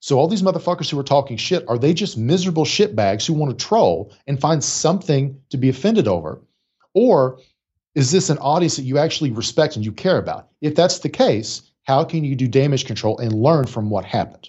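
A man with an American accent speaks in a fairly high, somewhat breathy voice with lively intonation. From rural Appalachia, West Virginia. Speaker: clinical psychologist and executive coach. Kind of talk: casual interview conversation. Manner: animated, profanity-heavy.

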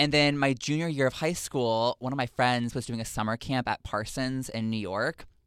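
A man with a normal speaking voice talks at medium pitch and a moderate pace with fairly even intonation and hardly any pauses, the recording very clean with a silent background and a dry, close sound with no echo. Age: 20s. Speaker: internet show host. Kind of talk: casual chat.

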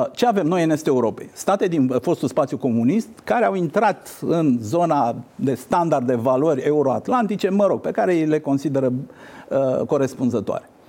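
A man speaks in a dark, mellow tone at a moderate pace. His intonation is lively and his loudness very even. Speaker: politician and former diplomat. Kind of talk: interview.

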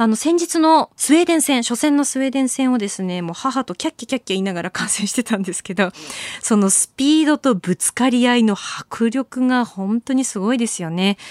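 Using an ordinary speaking voice, a woman talks at a fairly quick pace with a fairly high pitch and lively intonation, the sound dry and close with no echo. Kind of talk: casual chat about Olympic sports.

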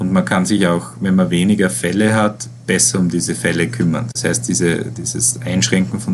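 The voice swings very widely in pitch at a moderate pace over noticeable background noise. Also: man. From Austria, Styria. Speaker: virologist and professor. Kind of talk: interview. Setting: online interview. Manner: hesitant, many filler sounds. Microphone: poor sound quality.

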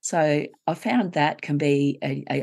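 A woman speaks with an Australian accent. The background is quiet. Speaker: grief coach and co-author. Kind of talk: interview conversation.

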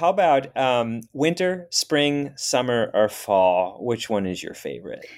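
A man speaks very slowly at a medium pitch. His pitch swings very widely. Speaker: podcast host. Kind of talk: interview conversation.

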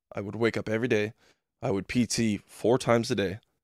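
Recorded with a dry, close sound and no echo, a man with a plain, everyday voice speaks at a medium pitch and fairly quick pace with fairly even intonation. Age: 30s. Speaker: medically retired police SWAT officer, shooting survivor. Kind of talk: casual interview.

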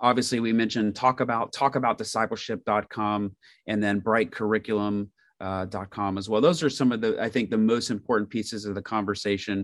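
A man with an American accent talks at a fairly quick pace. His intonation is fairly even, and the background is quiet. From Indiana, US Midwest. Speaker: ministry organization executive. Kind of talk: interview podcast.

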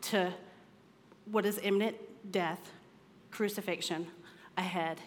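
Amid audible room echo, a woman with a medium pitch speaks in an animated tone with ordinary pitch variation. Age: 30s. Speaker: women's ministry speaker. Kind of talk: sermon.

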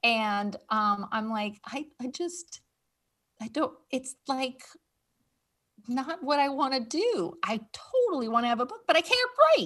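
In a raised, projected voice, a woman with an American accent speaks at a fairly slow pace, high in pitch, bright and sharp in tone, with lively intonation. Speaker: podcast host and pet cannabis expert. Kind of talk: casual interview chat. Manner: animated, conversational.

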